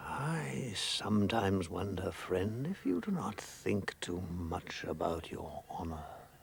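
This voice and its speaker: Putting on a character voice with a very deep, low pitch, a man talks at a fairly slow pace over clear background noise. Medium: short film. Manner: calm, grave and gentle.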